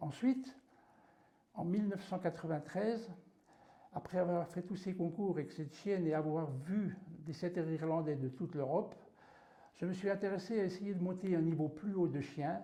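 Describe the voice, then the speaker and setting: Pitched high, a man speaks at a moderate pace with ordinary pitch variation and long, frequent pauses. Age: 60s. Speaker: dog breeder and trainer. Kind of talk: interview monologue.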